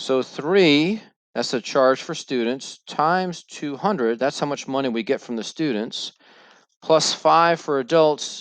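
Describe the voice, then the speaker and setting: Against a quiet background, a man with an ordinary speaking voice talks at a fairly slow pace, with fairly high pitch and ordinary pitch variation. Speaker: math teacher. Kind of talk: recorded lesson. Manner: casual.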